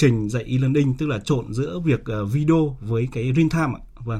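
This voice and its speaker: The tone is dark and mellow, somewhat breathy. Delivery is at a moderate pace. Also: man. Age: 40s. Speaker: startup founder. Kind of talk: radio interview.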